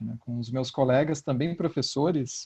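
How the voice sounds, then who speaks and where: This man's voice has a dark, mellow tone, a somewhat breathy quality and fairly even intonation. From Curitiba, Paraná, southern Brazil. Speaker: philosophy professor and podcaster. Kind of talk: online panel discussion. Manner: hesitant, many fillers.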